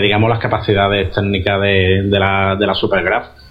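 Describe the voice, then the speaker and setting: Music plays in the background as a man speaks. His pitch is fairly low and his pace moderate. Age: 30s. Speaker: retro gaming guest. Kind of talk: casual chat. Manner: halting, repeats words.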